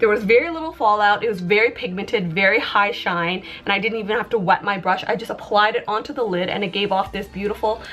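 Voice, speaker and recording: A woman's voice holds a medium pitch. Background music plays beneath her. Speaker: beauty youtuber. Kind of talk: makeup review. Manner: halting, with fillers.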